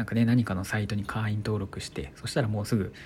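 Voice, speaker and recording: Calm in tone, a man speaks at a moderate pace with a fairly low pitch. His voice is somewhat breathy, with ordinary pitch variation. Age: 20s. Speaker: blogger and podcaster. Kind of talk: solo talk radio monologue.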